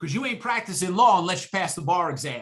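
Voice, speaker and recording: A man's high, bright and sharp voice in a New York accent, raised and projected, with lively intonation. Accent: New York (Bronx) accent, noticeable. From New York City, the Bronx. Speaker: exam prep instructor. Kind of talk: guest talk to student club. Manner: animated; informal.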